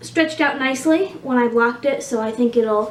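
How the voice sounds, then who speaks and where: High-pitched woman with ordinary pitch variation amid noticeable background noise. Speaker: knitting podcaster. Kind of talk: casual video podcast chat. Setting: home recording on camera. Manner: fast; filler-heavy, halting.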